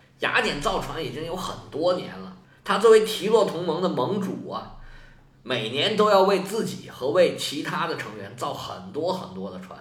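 An animated, high-pitched male voice with big swings in loudness. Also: moderate pace. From China. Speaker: history podcaster. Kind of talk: storytelling.

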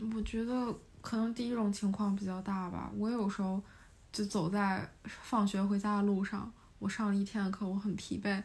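The voice is somewhat breathy, moving at a moderate pace with a monotone, flat intonation. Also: woman, medium pitch for a woman. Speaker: university student. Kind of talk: casual chat.

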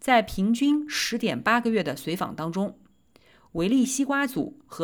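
The recording is very clean against a silent background. A woman speaks at a moderate pace, her pitch swinging very widely. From China, Nanjing. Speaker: physician and medical podcast host. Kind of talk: scripted narration of research summaries.

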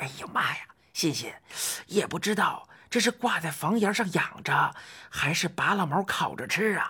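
In a put-on character voice, a woman speaks at a moderate pace with a fairly low pitch, a fairly bright tone, a husky, rough edge and lively intonation.

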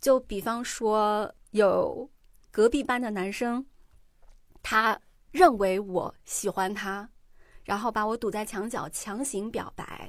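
A woman with a fairly high pitch speaks very slowly, with ordinary pitch variation and long, frequent pauses. It is a very clean recording with a silent background. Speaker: podcast host. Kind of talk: casual chat.

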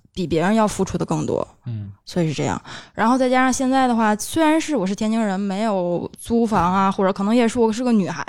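A woman's plain, everyday voice, medium in pitch, with lively intonation, a fairly quick pace and hardly any pauses, on a very clean recording with a silent background. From Tianjin. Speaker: podcast co-host. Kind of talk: casual chat.

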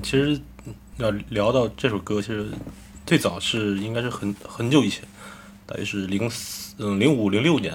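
A man at a moderate pace with a fairly low pitch, ordinary pitch variation, and long, frequent pauses. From Shandong, Jining. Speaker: rock band lead singer. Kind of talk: casual chat.

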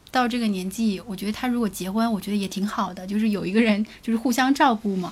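A woman with an unremarkable speaking voice talks at a fairly quick pace. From Jiangsu, China. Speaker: podcast co-host. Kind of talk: live-stream casual chat.

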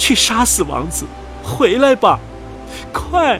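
Faint music plays behind a man doing a put-on character voice at an extremely high pitch, slow in pace, bright and sharp in tone, with big pitch swings.

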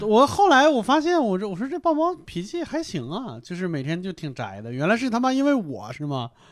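Delivered at a fairly quick pace with hardly any pauses, the speech has very wide pitch swings on a very clean recording with a silent background. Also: man, high pitch for a man. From Hebei. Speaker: comedian. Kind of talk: casual chat.

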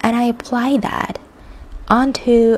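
A woman speaks with a high pitch. Noticeable background noise runs beneath her. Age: 20s. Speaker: solo podcaster, English tutor. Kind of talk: personal reflective monologue. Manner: halting, self-correcting.

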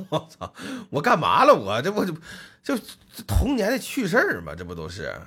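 With an animated tone and big swings in loudness, a man talks at a moderate pace, pausing long and often. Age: middle-aged. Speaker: podcast host. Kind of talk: casual chat.

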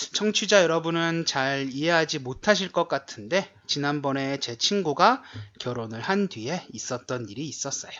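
An unremarkable speaking voice: a man at a fairly high pitch, moderate pace and lively intonation. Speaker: Korean language teacher, podcast co-host. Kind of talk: casual chat.

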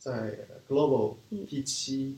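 A man with a Korean accent at a very slow pace, medium pitch and ordinary pitch variation. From raised in China from age 4, Korean family. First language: Korean (speaking Chinese). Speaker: business school student, e-commerce marketer. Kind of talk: interview conversation. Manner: halting, many fillers.

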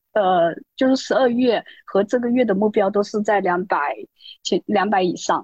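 A woman's normal speaking voice at medium pitch, with ordinary pitch variation, very even loudness, a moderate pace and a dry, close sound without echo. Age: 30s. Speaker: amateur runner, interview candidate. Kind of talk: interview.

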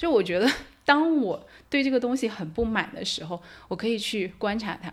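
A woman's normal speaking voice, lively in intonation and fairly quick in pace. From mainland China. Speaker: anthropology doctoral researcher. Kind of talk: podcast interview.

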